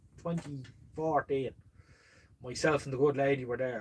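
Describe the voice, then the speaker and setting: A man talks at a fairly quick pace in an animated tone. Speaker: vintage radio hobbyist and live stream host. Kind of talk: casual live stream chat, reading comments. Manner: animated storytelling.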